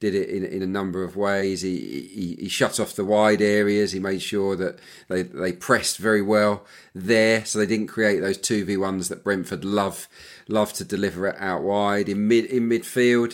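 A man with a fairly low voice, a normal speaking voice, fairly even intonation and a moderate pace, on a very clean recording with a silent background. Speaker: football analyst and former winger. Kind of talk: casual panel discussion.

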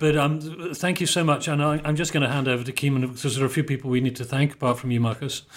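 A man at a very fast pace with hardly any pauses and fairly even intonation, over noticeable background noise. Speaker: podcast host. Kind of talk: interview conversation.

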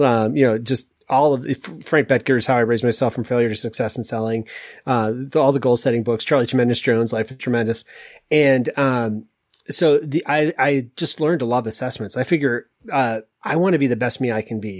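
This man has an unremarkable speaking voice with an American accent, medium pitch and ordinary pitch variation. He talks at a fairly quick pace on a very clean recording with a silent background. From US Northeast, Maine. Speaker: executive coach and author. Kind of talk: casual interview.

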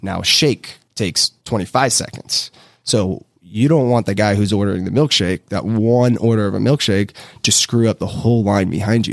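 Heard in a very clean recording with a silent background and a dry, close sound with no echo, a man with a normal speaking voice talks at a fairly low pitch and moderate pace with ordinary pitch variation. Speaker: real estate developer. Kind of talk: casual interview. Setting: studio.

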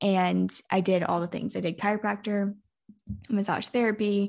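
Over a quiet background, a woman uses a normal speaking voice at a medium pitch and a fairly quick pace. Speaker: podcast host. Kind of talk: casual interview conversation.

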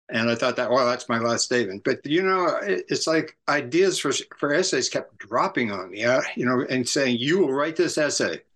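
A man's fairly high voice with lively intonation and a Californian accent. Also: moderate pace, hardly any pauses, quiet background. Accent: Californian American. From US West Coast, San Francisco area. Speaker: author and cultural critic. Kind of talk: interview.

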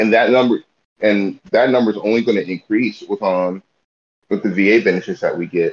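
A man with an unremarkable speaking voice talks at a moderate pace. His pitch is fairly low, with ordinary pitch variation. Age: 20s. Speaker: soldier. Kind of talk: casual chat.

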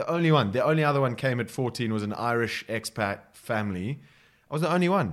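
On a very clean recording with a silent background, a man at a medium pitch talks very fast. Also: lively intonation. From Botswana. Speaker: rugby coach. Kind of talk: casual chat. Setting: coffee shop.

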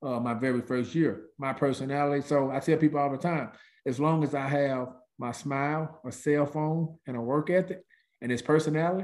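Using an American accent, a man talks at a fairly quick pace with a fairly high pitch. His pitch variation is ordinary, and the background is quiet. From US South, Mississippi. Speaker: real estate agent, former college football player. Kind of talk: casual podcast interview. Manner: animated.

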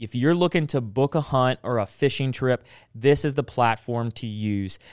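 With a Southern US accent, a man of medium pitch speaks at a fairly slow pace with ordinary pitch variation, in a dry, close recording with no echo that is very clean against a silent background. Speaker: podcast host. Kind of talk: casual chat. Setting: studio.

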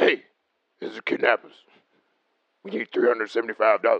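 Using a raspy, put-on character voice, a man speaks at a very slow pace. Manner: aggressive.

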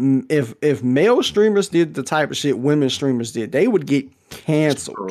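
In an ordinary speaking voice, a man talks at a fairly slow pace with lively intonation and a fairly high pitch. The recording is very clean, with a silent background. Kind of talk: casual chat.

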